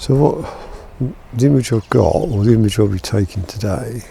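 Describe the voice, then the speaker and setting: A soft-spoken man with a fairly low pitch talks at a fairly slow pace amid noticeable background noise. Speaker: photography vlogger. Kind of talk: casual vlog talk to camera. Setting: outdoors in back garden.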